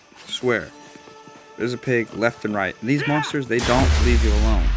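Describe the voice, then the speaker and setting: A man speaks at a fairly quick pace while music plays behind him. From Des Moines, Iowa. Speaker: gaming YouTuber. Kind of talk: gameplay voice-over commentary. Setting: recorded voice-over away from home. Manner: casual, hesitant with fillers.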